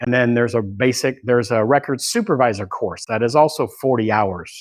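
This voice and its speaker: Fairly quick delivery from a man, medium in pitch, with ordinary pitch variation. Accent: Californian. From California, Bay Area. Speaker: law enforcement records manager and instructor. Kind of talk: training lecture.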